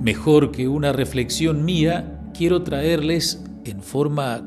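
Clear music plays in the background. A man speaks at a very slow pace. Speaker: priest. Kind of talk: sermon. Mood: calm, devotional. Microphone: handheld.

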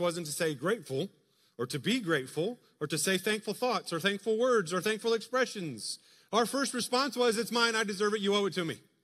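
With a quiet background behind him, a man talks at a fairly quick pace. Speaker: pastor. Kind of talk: sermon. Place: church.

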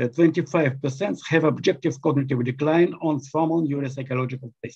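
Over a quiet background, the voice has a dark, mellow tone and ordinary pitch variation. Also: man. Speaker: presenter. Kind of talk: lecture. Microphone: webcam.

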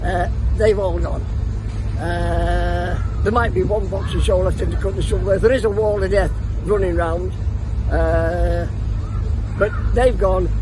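A man at a fairly slow pace with long, frequent pauses, in a dry sound with no echo and noticeable background noise. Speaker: travelling fair showman. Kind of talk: interview answer. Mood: warm, reminiscing. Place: open country.

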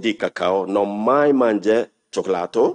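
Against a quiet background, a man talks at a very slow pace with a fairly low pitch. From Ghana. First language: English or Ghanaian language (speaking Italian). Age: 60s. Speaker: refugee, human rights activist. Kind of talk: personal testimony. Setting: council hall with audience. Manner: halting, many fillers. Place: hall. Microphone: podium.

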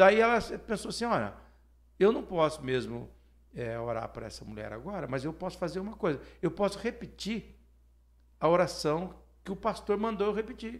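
Speaking at a moderate pace over a quiet background, a man with a high pitch uses very wide pitch swings, big swings in loudness, and long, frequent pauses. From Brazil, Paraná (Maringá area); Paraná, Brazil. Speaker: pastor. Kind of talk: casual interview chat. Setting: studio, live broadcast on radio and YouTube. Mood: warm, reflective, animated. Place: studio. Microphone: studio mic.

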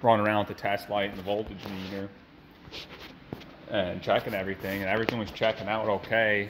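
A man's monotone, flat delivery over light background noise. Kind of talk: casual repair tutorial. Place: garage. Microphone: phone near.

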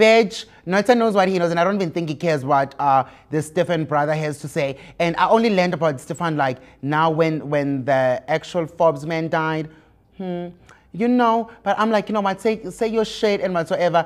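Against a quiet background, a man talks at a moderate pace in a high pitch. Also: ordinary pitch variation. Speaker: show host. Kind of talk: gossip commentary. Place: studio. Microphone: lapel.

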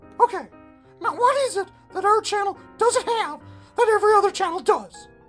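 A cartoonish character voice moves at a fairly quick pace while faint music plays in the background. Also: man. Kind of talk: puppet comedy sketch dialogue. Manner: impatient, brash.

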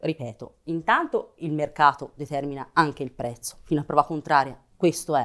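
Over a quiet background, a woman speaks with a very deep, low pitch. She keeps a moderate pace and fairly even intonation, with hardly any pauses. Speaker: politician. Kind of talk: political talk show debate. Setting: studio. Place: studio. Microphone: lapel.

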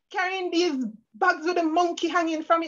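A woman is speaking. The background is quiet. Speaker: guest. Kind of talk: sermon-like personal story talk. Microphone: video call.

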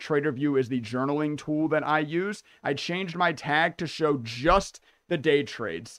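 Delivery is at a fairly slow pace. Nothing much is heard behind the voice, which sits in a quiet background. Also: man. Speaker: day trader streamer. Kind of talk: casual commentary walkthrough. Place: home room.

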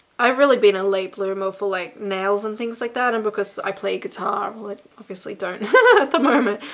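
A woman talks fairly quickly, her pitch varying in an ordinary way, while noticeable noise sounds behind her. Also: medium pitch for a woman. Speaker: YouTuber and handbag designer. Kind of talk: casual chat. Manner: animated.

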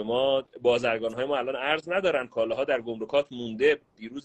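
The setting is quiet. A man rattles off his words very fast. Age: 30s. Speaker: caller. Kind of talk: casual chat. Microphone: video call.

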